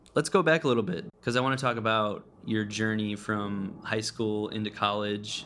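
A normal speaking voice from a man, moderate in pace and fairly low in pitch. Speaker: podcast host. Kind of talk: casual interview.

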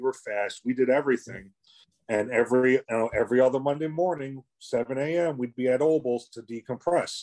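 A man talks at a moderate pace in a medium pitch with ordinary pitch variation. His tone is dark and mellow, and the sound is dry and close with no echo. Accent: New York. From New York City, Brooklyn. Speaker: former paramedic, subway supervisor. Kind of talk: casual interview.

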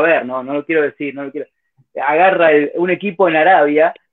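Someone speaks with a Rioplatense accent and ordinary pitch variation. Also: man. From Buenos Aires, Argentina. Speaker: football podcaster. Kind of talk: casual chat.

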